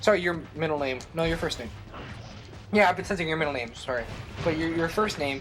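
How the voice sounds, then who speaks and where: Speech comes at a very fast pace with ordinary pitch variation and long, frequent pauses, amid audible room echo and music in the background. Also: man, fairly high pitch for a man. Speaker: let's play gamer. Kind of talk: casual chat.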